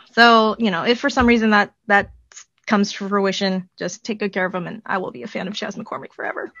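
In an ordinary speaking voice, a woman talks at a fairly quick pace with medium pitch, ordinary pitch variation, and big swings in loudness. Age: 40s. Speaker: baseball podcaster. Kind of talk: casual chat.

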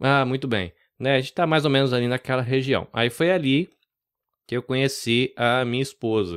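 A medium-pitched man speaks at a moderate pace with ordinary pitch variation and very even loudness. The sound is dry and close with no echo, in a very clean recording with a silent background. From interior of São Paulo state, Brazil (born in Salvador). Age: 40s. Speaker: podcast producer. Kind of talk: casual interview. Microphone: studio microphone and headphones.

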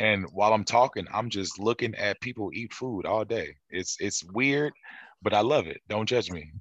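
Over a quiet background, a man speaks in an ordinary speaking voice at a fairly low pitch and moderate pace, with ordinary pitch variation and a dry, close sound with no echo. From St. Louis, Missouri. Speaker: soul singer. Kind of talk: casual interview.

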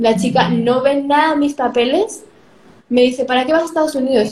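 Keeping her loudness very even, a woman speaks at a fairly quick pace in a high voice with ordinary pitch variation. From Spain (Madrid), born in Peru. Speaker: youtuber. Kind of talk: interview.

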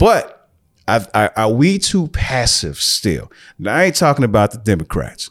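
A man with an animated tone, vocal fry, and very wide pitch swings at a fairly slow pace, on a very clean recording with a silent background. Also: medium pitch for a man. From US Midwest. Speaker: podcast host. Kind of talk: casual chat.

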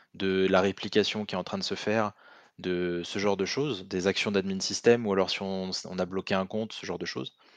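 A man with a normal speaking voice, fairly low pitch, fairly even intonation and a fairly quick pace, in a dry, close sound with no echo against a quiet background. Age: 20s. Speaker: penetration tester. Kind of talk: casual chat.

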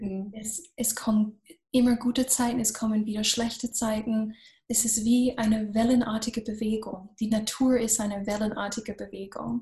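In an English accent, a woman talks at a moderate pace with a fairly high pitch, a somewhat breathy, dark, mellow tone and monotone, flat intonation. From US, Florida. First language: English (speaking German). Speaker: business coach. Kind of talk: podcast interview.

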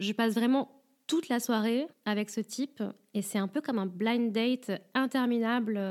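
A woman talks in an ordinary speaking voice with a fairly high pitch at a moderate pace. Her intonation stays fairly even, and the recording is very clean with a silent background. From France. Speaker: podcaster and stripper. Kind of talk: first-person narration.

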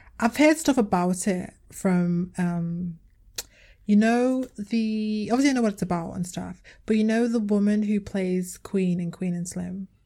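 Somewhat breathy and dark, mellow in tone, a woman speaks at a medium pitch and a fairly slow pace. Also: ordinary pitch variation. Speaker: podcast co-host. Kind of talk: casual chat. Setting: video call.

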